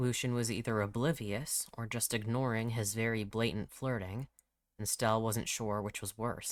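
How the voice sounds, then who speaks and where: A normal speaking voice talks at a moderate pace with fairly even intonation on a very clean recording with a silent background. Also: man. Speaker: author narrating own audiobook. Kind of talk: audiobook fiction narration.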